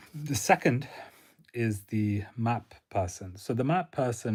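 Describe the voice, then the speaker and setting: A man's somewhat breathy voice comes through a very clean recording with a silent background. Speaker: career advice creator. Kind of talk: livestream talk. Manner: monotone.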